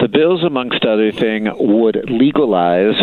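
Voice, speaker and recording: A man at a moderate pace with lively intonation, amid noticeable background noise. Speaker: city council member. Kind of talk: interview. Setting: phone call.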